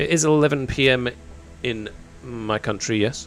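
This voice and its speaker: Music plays in the background as a man talks. He has a British accent and ordinary pitch variation. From United Kingdom. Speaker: gaming streamer. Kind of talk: live stream chat. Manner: casual, rambling.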